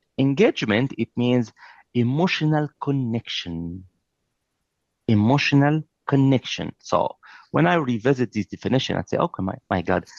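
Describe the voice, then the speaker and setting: In a non-native accent, the speaker uses lively intonation at a moderate pace with long, frequent pauses, in a dry, close sound with no echo and a quiet background. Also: man, medium pitch for a man. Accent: noticeable foreign. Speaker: trainer. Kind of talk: lecture. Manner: animated.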